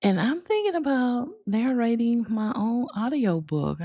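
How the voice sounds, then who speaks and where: Fairly slow female speech in a Southern US accent, dark and mellow in tone, with very wide pitch swings. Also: fairly high pitch for a woman. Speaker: video creator and author. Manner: casual, chatty.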